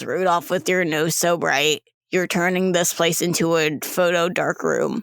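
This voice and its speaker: A raspy put-on character voice at middle pitch, deadpan in tone and moderate in pace. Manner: flat, monotone, deadpan.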